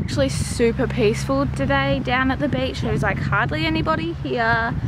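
A woman speaks at a moderate pace over loud background noise. The sound itself is dry, with no echo. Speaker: family vlogger. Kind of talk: casual vlog chat. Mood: relaxed, cheerful. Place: waterside. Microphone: phone near.

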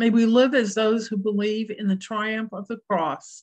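A somewhat breathy woman's voice, fairly high in pitch, at a fairly slow pace over a quiet background. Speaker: service leader. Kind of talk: morning prayer service with scripture reading and discussion. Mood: calm, reverent. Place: home room. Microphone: webcam.

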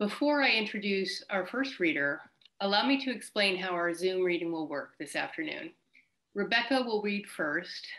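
A woman with a plain, everyday voice talks at a moderate pace and medium pitch, her intonation lively. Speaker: reading host. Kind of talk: event hosting. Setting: video call. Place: home room. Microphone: video call.

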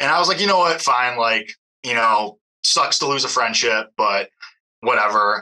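A man with a plain, everyday voice speaks at a moderate pace and medium pitch, with lively intonation and very even loudness. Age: 20s. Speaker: caller. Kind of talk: advice call.

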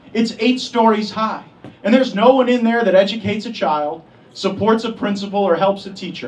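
With a high pitch, a man talks at a fairly quick pace and ordinary pitch variation. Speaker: politician giving endorsement. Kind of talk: campaign speech. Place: hall.

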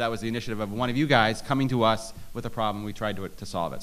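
Talking at a very fast pace, a man with an American accent has a bright, sharp tone and ordinary pitch variation. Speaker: state legislator. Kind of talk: panel forum discussion. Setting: stage with audience, microphone.

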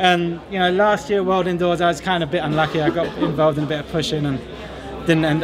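Against clear background noise, a man with an American accent talks fast at a fairly high pitch with fairly even intonation.

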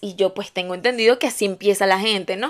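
A woman with a Venezuelan accent speaks at a moderate pace. Her tone is animated. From Venezuela, Valencia. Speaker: YouTuber. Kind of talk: casual storytelling vlog. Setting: at home, on her bed. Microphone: new microphone.

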